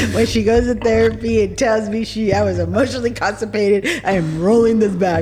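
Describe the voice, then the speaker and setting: A woman talks over noticeable background noise. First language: Spanish. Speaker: podcast host and business owner. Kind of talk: casual chat.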